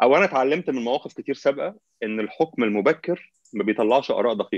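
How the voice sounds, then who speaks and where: Over a quiet background, a man talks at a fairly quick pace with lively intonation, the sound dry with no echo. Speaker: remote guest commentator. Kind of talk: interview answer. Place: home room.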